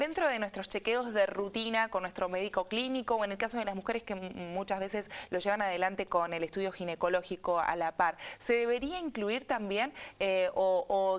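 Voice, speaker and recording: Against a quiet background, a woman speaks at a medium pitch and a fairly quick pace. It is an ordinary speaking voice with ordinary pitch variation. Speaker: radio and TV host, speech therapist. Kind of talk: interview questions.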